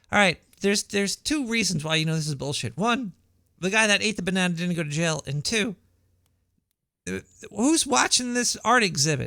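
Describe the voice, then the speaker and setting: On a very clean recording with a silent background, a man with an American accent projects a raised, high-pitched voice with a bright, sharp tone, very wide pitch swings and a moderate pace. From New York, Brooklyn. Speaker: radio show host. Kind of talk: casual talk radio monologue. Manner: halting, repeats words.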